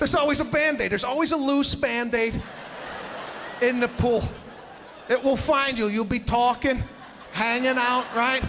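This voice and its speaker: A man with an extremely high pitch speaks in an energetic tone at a moderate pace, his loudness very even, with long, frequent pauses and noticeable background noise. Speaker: stand-up comedian. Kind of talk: stand-up comedy set.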